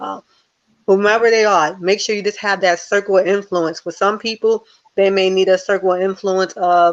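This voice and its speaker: A woman with an American accent, medium in pitch, at a moderate pace and in a monotone, flat delivery. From US Northeast, Newark New Jersey. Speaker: life coach and motivational speaker. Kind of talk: interview.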